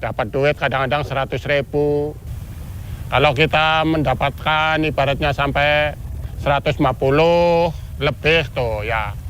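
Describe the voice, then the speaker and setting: A man's fairly high-pitched, unremarkable speaking voice at a fairly slow pace. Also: fairly even intonation. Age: 60s. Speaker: port porter. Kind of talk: interview. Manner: casual.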